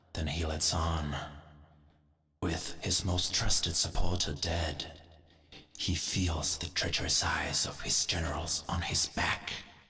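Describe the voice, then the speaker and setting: Putting on a character voice, a man talks fairly slowly in a raspy, very deep, low pitch. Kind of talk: dramatic lore narration.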